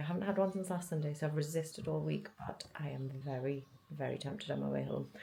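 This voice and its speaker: A woman's very deep, low voice with vocal fry and a dark, mellow tone. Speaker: lifestyle vlogger. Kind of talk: casual vlog chat. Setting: outdoors by the quay.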